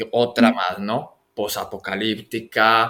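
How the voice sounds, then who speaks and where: On a very clean recording with a silent background, a man of medium pitch talks at a very slow pace in a monotone, flat intonation. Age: 40s. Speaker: podcast host. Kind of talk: interview. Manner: halting, with many repetitions.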